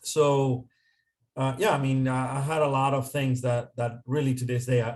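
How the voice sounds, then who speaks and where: A man with a Spanish accent, medium pitch and monotone, flat intonation. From Dominican Republic. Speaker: consultant. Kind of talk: interview.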